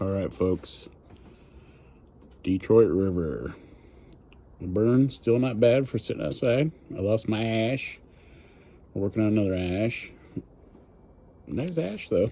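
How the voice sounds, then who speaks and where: Here a man talks in a dark, mellow tone with lively intonation. His pace is fairly slow, with long, frequent pauses. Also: fairly low pitch for a man. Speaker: cigar reviewer. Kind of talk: casual cigar review monologue. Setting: outdoors. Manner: halting, stumbling over words.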